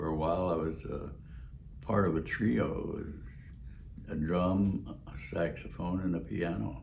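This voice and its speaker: Speaking at a fairly slow pace, a man uses a very deep, low pitch with vocal fry and lively intonation. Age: 80s+. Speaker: war veteran; drummer. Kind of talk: interview answer.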